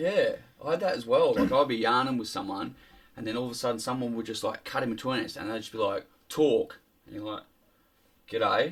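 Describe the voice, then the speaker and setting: Though his pace is fairly quick, a man with an Australian accent leaves long, frequent pauses. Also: big swings in loudness. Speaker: podcast guest. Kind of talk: casual chat. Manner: animated.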